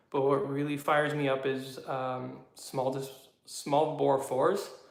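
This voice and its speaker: A man with a Canadian accent, fairly high-pitched and flat in a monotone, with audible room echo. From Canada, southwestern Ontario. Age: 30s. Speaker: YouTuber, motorcycle hobbyist. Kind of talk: casual live chat. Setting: garage. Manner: hesitant, many fillers.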